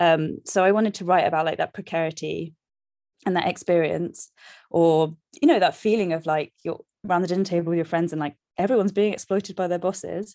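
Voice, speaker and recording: A woman with a London accent speaks very fast at a fairly low pitch, her tone dark and mellow and her intonation fairly even, with a dry, close sound with no echo against a quiet background. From South London. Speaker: novelist. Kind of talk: interview.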